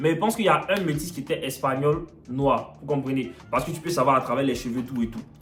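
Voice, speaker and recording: Speaking very fast in an Ivorian accent, a man uses an animated tone with big swings in loudness over noticeable background noise. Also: fairly high pitch for a man, ordinary pitch variation. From Ivory Coast. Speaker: vlogger. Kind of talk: storytelling.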